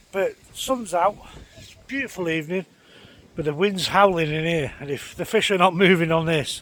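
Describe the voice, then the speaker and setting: A man speaks in a high pitch with ordinary pitch variation. His loudness swings widely against noticeable background noise. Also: moderate pace. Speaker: fishing vlogger. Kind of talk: casual vlog narration. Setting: outdoors on a lakeside bank. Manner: quiet.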